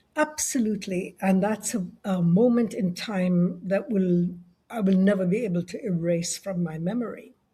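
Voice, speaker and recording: The voice belongs to a woman and is somewhat breathy. Its tone is dark and mellow. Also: medium pitch for a woman, ordinary pitch variation, moderate pace. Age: 70s. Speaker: leadership consultant and author. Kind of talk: interview conversation.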